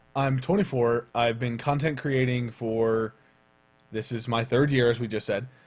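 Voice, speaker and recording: A man speaks in a normal speaking voice at a medium pitch. He keeps a moderate pace and fairly even intonation. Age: 20s. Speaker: vlogger and streamer. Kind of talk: casual vlog talk.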